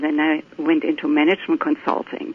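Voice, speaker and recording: A woman with a German accent talks at a fairly quick pace with lively intonation. Noticeable background noise can be heard. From Germany. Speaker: tantra teacher and author. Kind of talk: interview.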